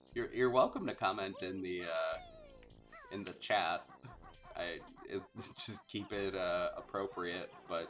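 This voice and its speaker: A man's fairly slow speech with long, frequent pauses and music in the background. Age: adult. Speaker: game streamer. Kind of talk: casual gameplay commentary. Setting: live stream. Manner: hesitant, many fillers.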